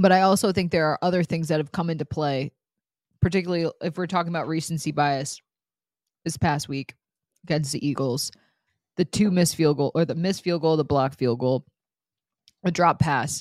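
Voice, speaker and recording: A woman with an American accent speaks at a fairly quick pace, her very deep, low pitch varying in an ordinary way, with long, frequent pauses. The recording is very clean, dry and close, with a silent background and no echo. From upstate New York. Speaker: sports reporter and podcast host. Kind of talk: casual chat.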